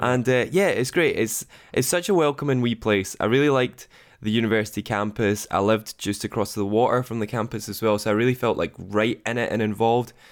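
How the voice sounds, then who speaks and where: A man with a Scottish accent talks at a fairly quick pace and medium pitch. The recording is very clean, with a silent background. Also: ordinary pitch variation. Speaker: radio producer. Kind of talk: interview. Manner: casual, self-deprecating.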